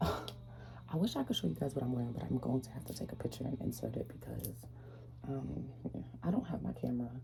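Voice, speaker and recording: A soft-spoken woman with a very deep, low voice talks at a very fast pace with very wide pitch swings, amid noticeable background noise. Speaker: vlogger, social work student. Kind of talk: casual vlog.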